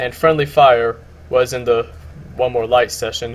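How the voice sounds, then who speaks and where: A man talks in a somewhat breathy voice. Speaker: music YouTuber. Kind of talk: casual video commentary. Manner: halting, repeats words.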